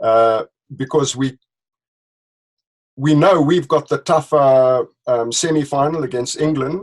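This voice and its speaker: A man with a South African accent talks at a fairly high pitch and a fairly slow pace, with ordinary pitch variation and long, frequent pauses. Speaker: leadership consultant, company director. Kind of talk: interview. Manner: hesitant, with fillers.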